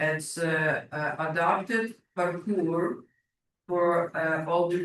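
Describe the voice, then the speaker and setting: A man with a non-native accent speaks in a high pitch with fairly even intonation. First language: not English. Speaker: public delegate at council meeting. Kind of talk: public delegation Q&A. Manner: halting.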